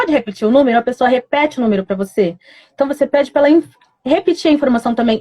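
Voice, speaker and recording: Dry, close sound with no echo, at a very fast pace. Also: woman. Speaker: communication tips presenter. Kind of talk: live stream talk. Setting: Instagram live.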